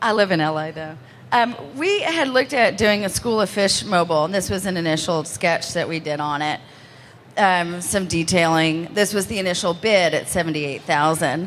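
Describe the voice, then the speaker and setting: A woman's fairly low voice with an American accent and ordinary pitch variation. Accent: Texan, strong right now. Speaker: interior designer. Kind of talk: award presentation. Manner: fast.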